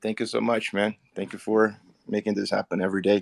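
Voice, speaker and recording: In a Portuguese accent, a man with a fairly low pitch speaks on a very clean recording with a silent background and a dry, close sound with no echo. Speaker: crypto community member. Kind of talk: casual group audio chat.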